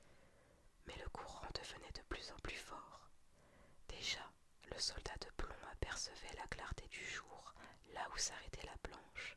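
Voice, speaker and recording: A whisper moves along at a very slow pace. Noticeable background noise runs behind it. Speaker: ASMR storyteller. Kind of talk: reading aloud. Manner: whispered.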